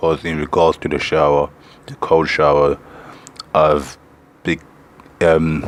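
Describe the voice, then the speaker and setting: Noticeable background noise sits under a man's very deep, low voice. He speaks at a fairly slow pace in a monotone, flat intonation. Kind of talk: casual talk to camera.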